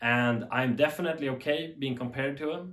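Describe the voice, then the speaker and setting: A man with a strong Swedish accent, medium pitch and ordinary variation, at a moderate pace. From Sweden. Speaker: TV tech YouTuber. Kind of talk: unscripted commentary. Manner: animated.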